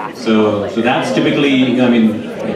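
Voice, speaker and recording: The speech moves at a fairly quick pace. Loud background noise and audible room echo fill the recording. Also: man. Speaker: event host. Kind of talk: announcement to audience. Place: stage. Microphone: handheld.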